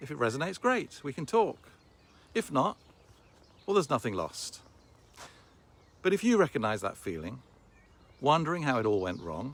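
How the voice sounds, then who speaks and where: At a moderate pace with long, frequent pauses, a man speaks at a medium pitch with vocal fry, very wide pitch swings and big swings in loudness. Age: 60s. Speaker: online business promoter. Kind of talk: sales pitch.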